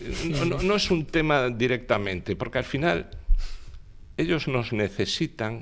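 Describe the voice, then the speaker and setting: A man talks at a fairly slow pace. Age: 60s. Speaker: politician. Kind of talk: interview.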